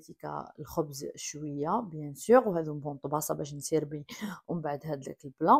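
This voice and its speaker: This woman's voice sits very deep and low, heard against a quiet background. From Algeria. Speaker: cooking vlogger. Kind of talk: cooking tutorial. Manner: casual, chatty.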